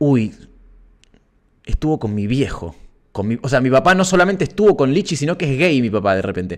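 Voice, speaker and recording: At a moderate pace, a man with a Rioplatense accent talks with very wide pitch swings against a quiet background. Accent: Argentine Rioplatense Spanish. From Argentina. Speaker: musician and streamer hosting a live stream; streamer hosting a live stream. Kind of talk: casual live stream chat with viewers. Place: home room. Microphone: studio mic.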